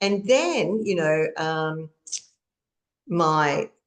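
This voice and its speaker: Very slow and very deep, a woman speaks in an Australian accent with fairly even intonation. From Australia (Queensland). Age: 60s. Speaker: author and trauma coach. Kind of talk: interview testimony. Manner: halting.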